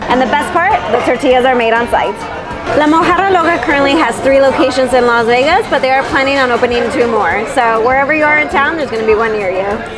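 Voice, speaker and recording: A woman talking at a very fast pace, with clear music in the background. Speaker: food vlogger. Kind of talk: casual food review vlog. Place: bar.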